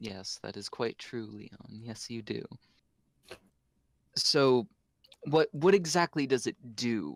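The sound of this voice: A man talks slowly at a medium pitch, with vocal fry, lively intonation and long, frequent pauses. His sound is dry and close, with no echo.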